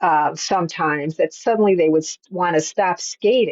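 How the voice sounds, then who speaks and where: A woman with an ordinary speaking voice, fairly low in pitch, at a moderate pace with ordinary pitch variation. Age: 60s. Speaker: author and skating coach. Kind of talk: casual chat.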